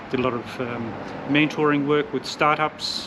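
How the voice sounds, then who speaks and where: A man with an Australian accent at a fairly high pitch and moderate pace, over noticeable background noise. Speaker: digital nomad business owner. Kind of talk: casual interview chat.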